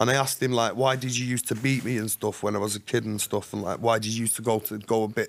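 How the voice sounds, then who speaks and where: Very fast and with hardly any pauses, a man speaks. His intonation is monotone and flat. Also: medium pitch for a man. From Manchester, northern England; northern England. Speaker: author and ex-prisoner; podcast guest. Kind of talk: casual interview, life story. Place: studio. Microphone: studio mic.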